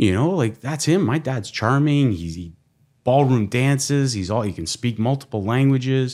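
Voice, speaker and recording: A man talks with lively intonation at a moderate pace in an unremarkable speaking voice, the recording very clean with a silent background. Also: medium pitch for a man. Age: 40s. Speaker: guest telling his life story. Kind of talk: casual interview chat.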